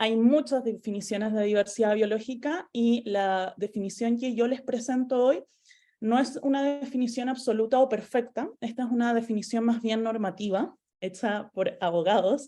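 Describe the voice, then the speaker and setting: A woman with a Chilean accent, fairly high pitch, ordinary pitch variation and a dark, mellow tone, over a quiet background. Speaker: environmental lawyer. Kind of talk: lecture. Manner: fast.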